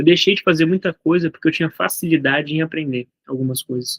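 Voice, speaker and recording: Very fast in pace, a man talks at a fairly high pitch with ordinary pitch variation. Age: 20s. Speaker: entrepreneur and content creator. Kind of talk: casual monologue vlog. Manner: halting, with false starts.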